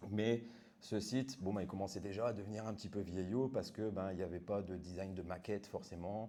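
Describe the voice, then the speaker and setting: Recorded with audible room echo, a man speaks fairly quickly in a fairly low, dark, mellow voice with fairly even intonation. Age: 40s. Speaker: web developer. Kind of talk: conference talk. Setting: meetup with audience. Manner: casual.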